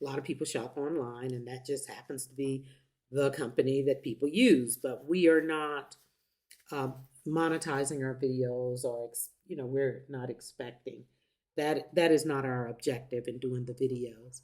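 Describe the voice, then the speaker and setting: A woman speaks at a moderate pace with a very deep, low pitch. Her intonation stays fairly even while her loudness swings widely. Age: 70s. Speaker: YouTube vlogger. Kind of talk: casual chat. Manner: halting.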